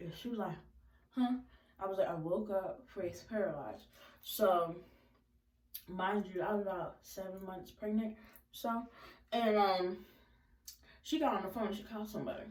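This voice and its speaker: A woman with a medium pitch and ordinary pitch variation speaks in an animated tone at a moderate pace, with long, frequent pauses and audible room echo. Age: young. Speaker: vlogger. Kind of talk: storytime vlog.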